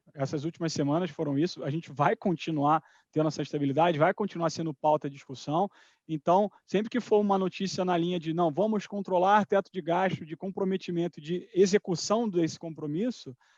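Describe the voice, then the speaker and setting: A man speaks at a fairly quick pace in a high voice, with ordinary pitch variation. The sound is dry and close with no echo, over a quiet background. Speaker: finance executive. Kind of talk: live webinar talk. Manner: fast.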